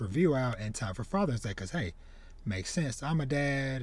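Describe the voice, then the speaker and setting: A man speaks with lively intonation at medium pitch, in a plain, everyday voice. The recording is very clean, with a silent background. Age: 30s. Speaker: podcast host, manga reviewer. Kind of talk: solo review monologue. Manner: casual, filler-heavy.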